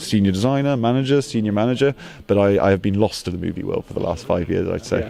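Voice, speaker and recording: Over noticeable background noise, a man with a British accent talks very fast at a fairly low pitch with ordinary pitch variation. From UK. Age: 30s. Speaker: toy designer. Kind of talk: interview.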